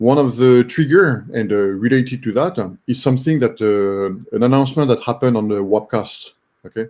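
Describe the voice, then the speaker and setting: Speaking fairly quickly in a French accent, a man at a medium pitch shows ordinary pitch variation. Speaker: online community member, robotics project participant. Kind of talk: casual group video call discussion. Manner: halting, many fillers (uh, um, okay).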